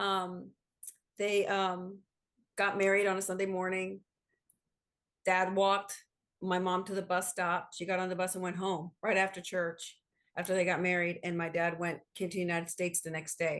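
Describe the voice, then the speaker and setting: With an American accent, a woman speaks at a moderate pace and a medium pitch, her intonation monotone and flat, with long, frequent pauses. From New Jersey, US. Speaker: company CEO. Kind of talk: interview conversation.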